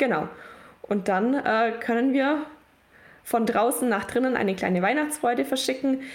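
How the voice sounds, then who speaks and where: At a moderate pace, a woman with a high pitch speaks with ordinary pitch variation, very even loudness and long, frequent pauses, amid audible room echo and noticeable background noise. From Allgäu, Bavaria, Germany. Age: 20s. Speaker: prison outreach volunteer. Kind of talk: podcast interview.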